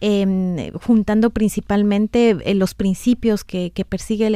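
A woman's dark, mellow voice at a medium pitch, with a fairly slow pace and fairly even intonation. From Ecuador, Quito (highlands). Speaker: NGO worker. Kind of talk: radio interview. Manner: halting, many repetitions.

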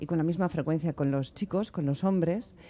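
Against a quiet background, a man speaks at a fairly high pitch with a dark, mellow tone. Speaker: radio host. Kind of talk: radio interview. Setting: radio studio. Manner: talkative.

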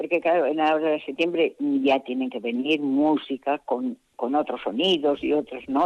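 A woman speaks in a very deep, low pitch. Her intonation is lively and her pace fairly slow. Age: 70s. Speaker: village festival organiser. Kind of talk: interview. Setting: phone call.

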